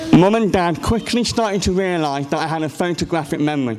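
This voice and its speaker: With an English accent, a man speaks in a high voice amid noticeable background noise and audible room echo. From England. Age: 20s. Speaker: conference speaker with a rare condition. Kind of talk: personal testimony talk. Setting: stage with audience. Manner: halting.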